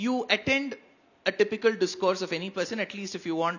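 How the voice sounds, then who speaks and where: Delivered at a fairly quick pace, the speech comes in a Tamil accent. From India, Karnataka. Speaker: spiritual speaker. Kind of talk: panel discussion.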